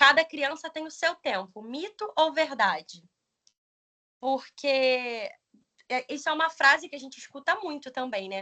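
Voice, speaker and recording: A woman's raised, projected voice at a high pitch, bright and sharp in tone, with lively intonation, a fairly slow pace, long, frequent pauses and big swings in loudness. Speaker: pedagogy student and teacher. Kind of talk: presentation.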